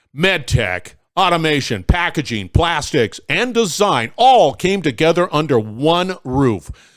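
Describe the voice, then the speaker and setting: In a very clean recording with a silent background, a man talks fairly slowly in an upbeat tone, his fairly high pitch making very wide swings. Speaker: podcast host. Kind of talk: sponsor read intro.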